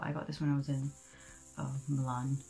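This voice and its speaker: Faint music plays in the background as a woman speaks at a very fast pace. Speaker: beauty vlogger. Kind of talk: makeup tutorial chat. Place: home room. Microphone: earbuds.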